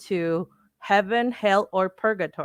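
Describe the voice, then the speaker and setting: A woman with a Spanish accent at medium pitch, lively in intonation and fairly slow, in a very clean, dry, close recording with no echo and a silent background. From Mexico. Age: 30s. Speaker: lawyer and fashion enthusiast. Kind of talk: lecture. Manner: halting.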